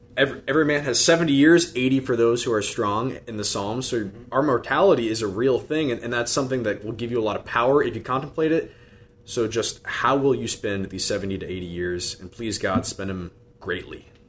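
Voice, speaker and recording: Man with a medium-pitched voice and a Midwestern US accent at a fairly quick pace. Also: ordinary pitch variation. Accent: US Midwest. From Iowa, Des Moines. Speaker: deacon and seminarian. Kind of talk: radio interview. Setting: studio.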